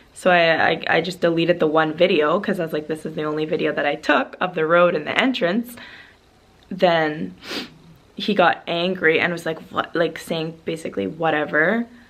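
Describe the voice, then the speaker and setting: The speaker has a Canadian accent and ordinary pitch variation. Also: woman, fairly low pitch for a woman, moderate pace. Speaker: travel vlogger. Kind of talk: casual storytelling vlog. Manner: hesitant, filler-heavy.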